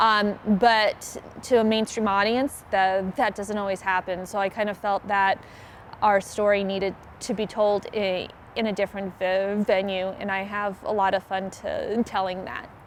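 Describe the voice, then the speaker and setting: Her voice sits at a medium pitch for a woman. She speaks at a moderate pace in a monotone, flat intonation. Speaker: stand-up comedian. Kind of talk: interview answer. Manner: stuttering.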